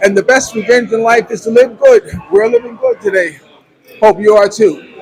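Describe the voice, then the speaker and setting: Fairly quick pace over noticeable background noise. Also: man. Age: 60s. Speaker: vlogger. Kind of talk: casual interview. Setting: coffee house.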